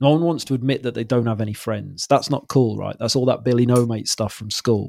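This man speaks with a Welsh accent. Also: very clean recording, silent background. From Wales. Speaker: mental health podcast host. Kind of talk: casual chat.

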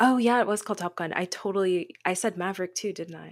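In a very clean recording with a silent background, a woman with an American accent and an unremarkable speaking voice talks at a moderate pace, medium in pitch with ordinary pitch variation. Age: 20s. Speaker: podcast co-host. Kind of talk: casual chat.

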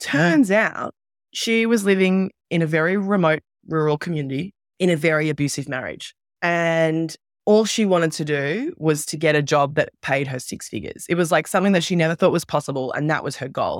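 Lively in intonation, a woman talks at a fairly quick pace with a fairly low pitch. The recording is very clean and silent behind her, dry and close with no echo. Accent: Australian. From Australia. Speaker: entrepreneur and former journalist. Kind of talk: interview.

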